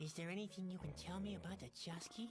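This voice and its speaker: A female-sounding put-on character voice rattles along at a very fast pace and middle pitch. Clear background noise sits behind it. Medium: video game. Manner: glum, downbeat.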